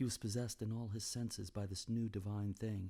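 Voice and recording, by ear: Someone is reading aloud in a natural voice, with fairly even intonation.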